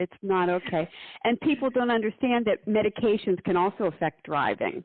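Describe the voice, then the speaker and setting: With a fairly high pitch, a woman talks at a fairly quick pace in an ordinary speaking voice, using lively intonation and very even loudness. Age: 60s. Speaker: podcast host, former nurse. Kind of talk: casual chat.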